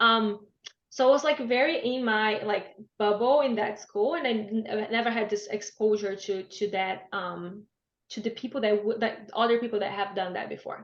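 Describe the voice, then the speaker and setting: A woman's fairly high voice with a Brazilian Portuguese accent and ordinary pitch variation. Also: moderate pace. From Brazil, Blumenau (Santa Catarina). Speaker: business graduate sharing language-learning story. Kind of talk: webinar talk. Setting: online webinar.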